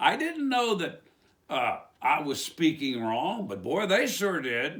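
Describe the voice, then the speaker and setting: Using an Appalachian accent, a man speaks at a very slow pace with a high pitch and very wide pitch swings. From West Virginia. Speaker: preacher. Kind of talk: religious commentary monologue. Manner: animated.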